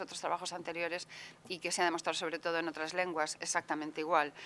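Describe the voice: A woman speaks with a fairly low pitch and a fairly bright tone. Her pitch moves very little.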